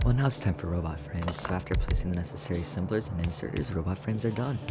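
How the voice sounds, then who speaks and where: A quiet man with a very deep, low pitch, lively intonation and a very fast pace, amid noticeable background noise and audible room echo. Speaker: gaming YouTuber. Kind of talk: gameplay commentary.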